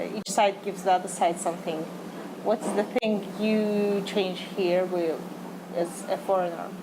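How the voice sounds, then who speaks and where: A woman with a Russian accent at a fairly slow pace, over noticeable background noise. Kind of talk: interview. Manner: halting.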